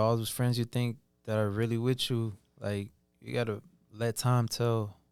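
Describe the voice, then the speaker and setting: The intonation stays fairly even at a moderate pace. Music plays in the background. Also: man. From Atlanta, Georgia. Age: 20s. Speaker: aspiring musician. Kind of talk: casual interview.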